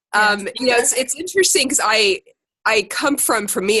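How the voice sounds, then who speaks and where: Lively intonation and a bright, sharp tone mark this woman's voice in an American accent. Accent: American, noticeable in the UK. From Ohio, US Midwest. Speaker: secondary teacher leading a fitness group call. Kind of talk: casual group conference call talk. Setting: conference call. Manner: hesitant, many fillers.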